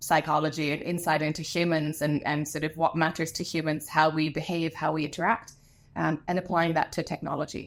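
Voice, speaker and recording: A woman's very deep, low voice at a fairly quick pace on a very clean recording with a silent background. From Germany, then Ireland as a teenager. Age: 30s. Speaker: education and innovation executive, co-founder and CEO. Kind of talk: podcast interview.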